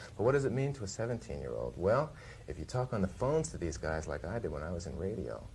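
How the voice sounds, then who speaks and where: A man with a very deep, low pitch talks at a very fast pace with very wide pitch swings. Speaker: music TV host. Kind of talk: interview answer. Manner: hesitant, stammering.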